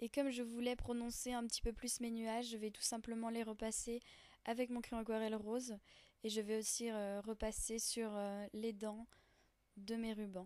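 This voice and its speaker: Speaking at a moderate pace, a woman has a fairly high pitch and a dark, mellow tone. Her intonation is monotone and flat. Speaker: art journaling crafter. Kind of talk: craft tutorial voice-over. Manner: hesitant, many fillers.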